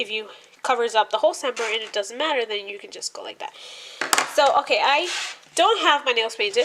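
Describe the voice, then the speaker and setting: Over noticeable background noise, a woman speaks fairly quickly in a high voice. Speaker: nail art tutorial creator. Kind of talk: casual tutorial narration. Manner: casual, hesitant with many fillers.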